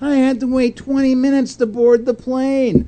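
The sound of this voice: In a whiny, put-on character voice, a man speaks at an extremely high pitch with monotone, flat intonation. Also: moderate pace.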